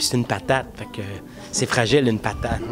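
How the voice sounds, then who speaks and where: Music sounds clearly behind the speaker. He is a man talking fairly quickly. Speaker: puppeteer. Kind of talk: interview answer. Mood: playful, joking. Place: stage. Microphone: handheld.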